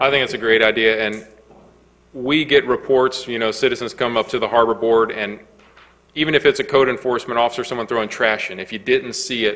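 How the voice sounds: With a fairly bright tone and medium pitch, a man talks at a fairly quick pace and with fairly even intonation.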